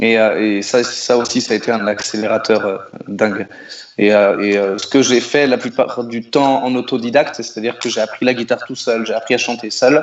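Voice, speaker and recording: This man has a medium pitch. He talks at a moderate pace. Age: 30s. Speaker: singer-songwriter. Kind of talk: radio interview. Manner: hesitant, many repetitions.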